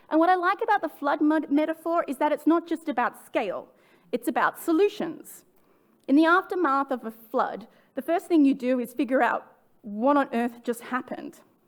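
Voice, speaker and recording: With an Australian accent, a woman talks at a high pitch and a moderate pace. Her intonation is lively. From Australia, suburbs of Sydney. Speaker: sustainability director. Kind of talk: conference talk. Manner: some restarts and stumbles.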